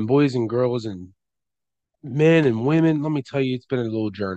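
Medium-pitched, moderately paced speech from a man, an ordinary speaking voice with ordinary pitch variation. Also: dry, close sound with no echo. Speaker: podcast host. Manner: casual, chatty, with frequent fillers and restarts.

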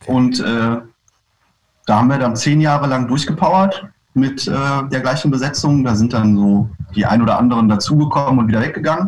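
His voice has a somewhat breathy quality. The man moves along at a fairly quick pace. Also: medium pitch for a man, ordinary pitch variation. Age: 30s. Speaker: punk rock singer and bassist. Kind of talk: casual interview. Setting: video call. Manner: halting.

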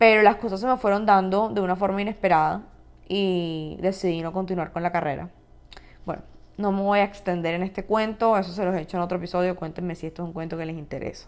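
At a very fast pace, a woman speaks at a medium pitch. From Colombia, Cartagena. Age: 20s. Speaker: podcast host. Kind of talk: casual solo podcast monologue. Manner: animated.

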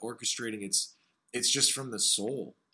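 The voice belongs to a man with a medium pitch. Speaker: podcast host. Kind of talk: casual interview. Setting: remote call.

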